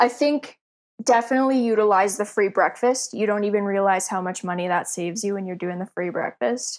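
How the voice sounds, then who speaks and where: Spoken at a fairly quick pace with lively intonation and a Canadian accent, this is an ordinary speaking voice on a very clean recording with a silent background. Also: woman, medium pitch for a woman. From Canada. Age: 20s. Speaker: podcast guest, traveler. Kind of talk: casual chat.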